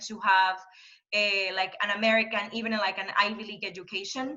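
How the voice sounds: With audible room echo behind her, a woman speaks at a moderate pace in a bright, sharp tone.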